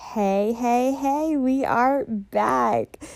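A woman's high pitch with a dark, mellow tone and ordinary pitch variation. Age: 20s. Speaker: podcast host. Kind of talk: casual chat.

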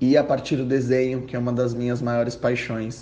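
Audible room echo surrounds a medium-pitched man's dark, mellow tone. He speaks in a flat monotone. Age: 20s. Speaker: fashion designer. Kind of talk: personal testimony. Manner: hesitant with fillers.

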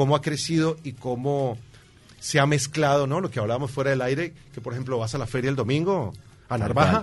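Speaking at a fairly quick pace, a man has a fairly high pitch. The rise and fall of his voice is ordinary. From Colombia. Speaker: guest, immigrant. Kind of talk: casual chat. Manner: animated.

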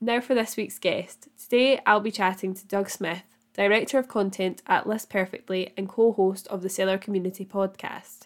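Speaking at a moderate pace in an unremarkable speaking voice, a woman keeps her intonation fairly even while her loudness swings widely. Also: medium pitch for a woman. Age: 20s. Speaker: podcast host. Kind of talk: interview; scripted narration.

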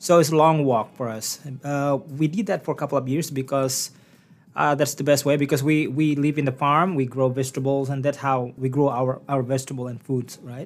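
In a very clean recording with a silent background, a man with an Indonesian accent speaks at a fairly quick pace, with fairly high pitch and fairly even intonation. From Indonesia (Sumatra). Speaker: country-pop singer-songwriter. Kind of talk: interview. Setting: studio.

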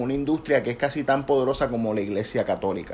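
With a Puerto Rican accent, a man talks at a fairly quick pace in a fairly high pitch with ordinary pitch variation. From Puerto Rico. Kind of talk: casual chat.

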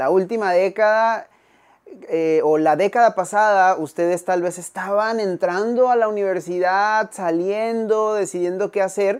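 Against a quiet background, a man speaks fairly slowly in a high voice with fairly even intonation. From Mexico. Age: 30s. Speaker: podcast host. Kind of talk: interview.

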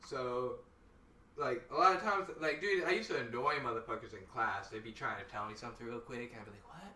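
Speech at a very fast pace, with lively intonation and big swings in loudness, over noticeable background noise. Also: man, medium pitch for a man. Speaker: guest. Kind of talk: casual chat. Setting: live stream.

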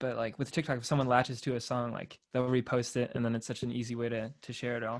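Speech in a Californian accent runs at a very fast pace with hardly any pauses. The intonation is monotone and flat, and the recording is very clean with a silent background. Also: man, medium pitch for a man. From California, Torrance. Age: 20s. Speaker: independent musician. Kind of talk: casual chat.

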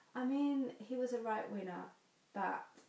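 A woman talks with fairly even intonation. Noticeable background noise runs behind her. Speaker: podcast co-host. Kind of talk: casual podcast chat.

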